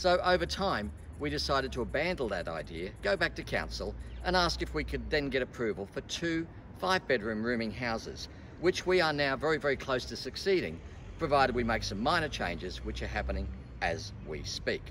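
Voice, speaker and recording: Light background noise sits under a man speaking at a fairly quick pace. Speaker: presenter. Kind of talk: presentation to camera. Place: street.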